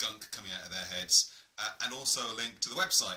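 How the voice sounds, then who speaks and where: Against noticeable background noise, a man with an English accent speaks at a fairly quick pace. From England. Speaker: gaming YouTuber. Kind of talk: casual taste-test vlog. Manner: hesitant, many fillers.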